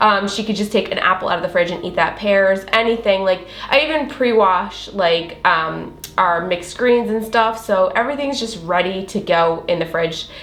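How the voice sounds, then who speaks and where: With an American accent, a woman speaks at medium pitch and a moderate pace with hardly any pauses, her pitch varying in an ordinary way, while audible room echo and noticeable background noise surround her. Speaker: food vlogger. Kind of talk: cooking tutorial. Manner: casual, filler-heavy.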